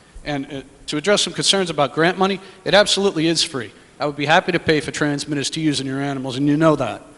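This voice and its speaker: Over noticeable background noise, a man with an American accent talks at a very fast pace in a fairly high voice with ordinary pitch variation. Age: 40s. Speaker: herpetology society president. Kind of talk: public comment at a meeting. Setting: public meeting in a school hall.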